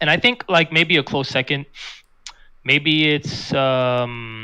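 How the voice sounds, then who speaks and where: Bright, sharp male voice at medium pitch in a very clean recording with a silent background. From New York City. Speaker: esports fighting game player. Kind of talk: casual interview chat. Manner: monotone; halting.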